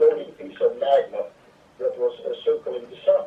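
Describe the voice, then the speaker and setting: With a Hungarian accent, a man speaks at a moderate pace over noticeable background noise. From Hungary. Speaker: water expert. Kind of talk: interview. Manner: halting.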